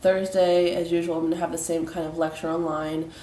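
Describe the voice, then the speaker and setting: Her fairly low voice stays monotone and flat. Noticeable background noise and audible room echo surround this woman. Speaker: college instructor. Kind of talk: recorded online lecture. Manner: hesitant, many fillers.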